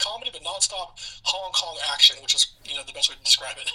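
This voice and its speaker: Noticeable background noise runs through the clip. A man speaks in an American accent. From United States. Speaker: returning guest co-host. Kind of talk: casual chat.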